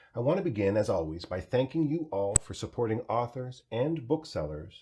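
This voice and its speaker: Speaking at a very fast pace, a man with a medium pitch and vocal fry swings his pitch very widely. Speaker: festival artistic director. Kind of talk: event host introduction.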